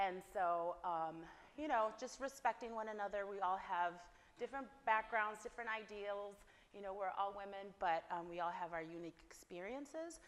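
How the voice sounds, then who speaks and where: A woman with an ordinary speaking voice, medium pitch and moderate pace. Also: ordinary pitch variation. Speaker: therapist leading a women's workshop. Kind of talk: workshop talk to attendees. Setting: venue with live audience. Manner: casual, filler-heavy.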